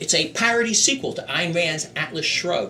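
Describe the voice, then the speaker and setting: A man with an American accent and a high pitch uses a raised, projected voice and lively intonation, with audible room echo and noticeable background noise. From US, Philadelphia (North Philadelphia). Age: 60s. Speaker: political candidate. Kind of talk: stump speech. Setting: meeting hall with audience. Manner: practiced public speaker.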